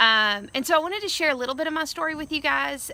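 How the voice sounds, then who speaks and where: Loud and bright with a sharp tone, a woman talks with lively intonation. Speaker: education speaker, former teacher. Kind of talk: recorded video message to school staff. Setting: outdoors. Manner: animated.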